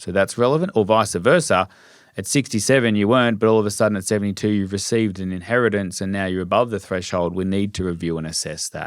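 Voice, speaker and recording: Talking at a very fast pace, a man with a fairly low pitch and ordinary pitch variation comes through on a very clean recording with a silent background. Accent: Australian. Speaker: financial advisor. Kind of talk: podcast interview.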